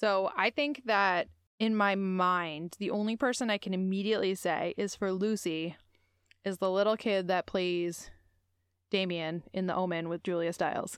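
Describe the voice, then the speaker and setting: Recorded very cleanly with a silent background, a woman of medium pitch uses an ordinary speaking voice, fairly even intonation and a moderate pace. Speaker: podcast host. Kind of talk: casual chat.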